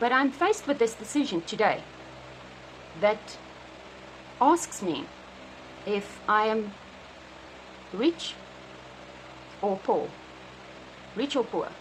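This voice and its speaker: A woman with a South African accent speaks at a fairly high pitch with lively intonation over noticeable background noise. Her pace is very slow, broken by long, frequent pauses. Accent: Afrikaans South African English. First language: Afrikaans. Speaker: vlogger. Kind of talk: personal video diary. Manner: halting, many fillers.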